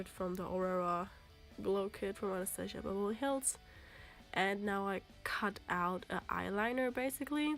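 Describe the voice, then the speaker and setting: A woman talks with a non-native accent and ordinary pitch variation. Music plays in the background. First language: German. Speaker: makeup vlogger. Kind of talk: makeup tutorial narration. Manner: casual, hesitant.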